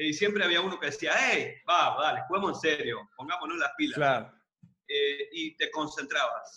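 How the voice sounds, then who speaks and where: At a moderate pace, a man speaks with an Argentine accent. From Mar del Plata, Argentina. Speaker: entrepreneur and podcast co-host. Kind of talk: casual chat, podcast conversation. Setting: remote call during quarantine.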